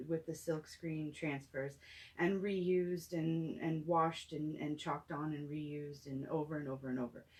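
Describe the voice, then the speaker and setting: Soft-spoken delivery at a fairly slow pace, with ordinary pitch variation. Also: woman. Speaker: craft tutorial host. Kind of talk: tutorial. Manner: hesitant, many fillers.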